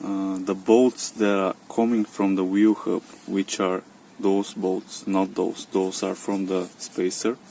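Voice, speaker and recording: Speech comes very slowly. A non-native accent is present. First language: non-native English speaker. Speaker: car DIY hobbyist. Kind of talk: DIY repair tutorial talk to camera. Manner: hesitant, many fillers.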